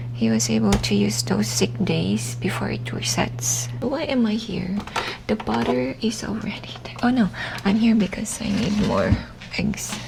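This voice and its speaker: Noticeable background noise surrounds a fairly slow whisper. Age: 30s. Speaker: vlogger. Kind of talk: casual chat. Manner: whispering. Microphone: mic far from mouth.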